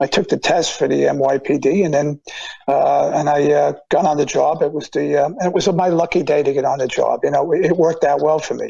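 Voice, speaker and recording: A man in a New York accent talks at a fairly quick pace with very even loudness. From Long Island, New York. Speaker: retired police officer. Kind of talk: interview. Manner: halting.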